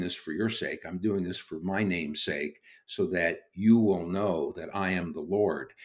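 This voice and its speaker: A man's fairly low, fairly slow voice with an American accent, an ordinary speaking voice, on a very clean recording with a silent background. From Brooklyn, New York, then California. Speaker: ministry co-founder and teacher. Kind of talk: podcast interview.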